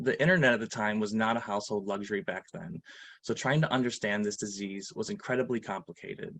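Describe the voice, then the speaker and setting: A man with a plain, everyday voice speaks at a fairly low pitch. His intonation is lively. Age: 30s. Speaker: patient advocate. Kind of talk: testimony. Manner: formal.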